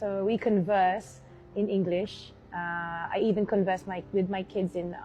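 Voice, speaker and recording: A woman speaks at a medium pitch with a British accent. Her intonation is flat and monotone, with music playing behind her. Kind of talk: conversational.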